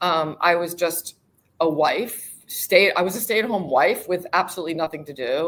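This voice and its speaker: The woman has an unremarkable speaking voice with an American accent and a fairly low pitch. She talks at a moderate pace with ordinary pitch variation. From United States. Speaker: global mobility professional. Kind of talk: interview.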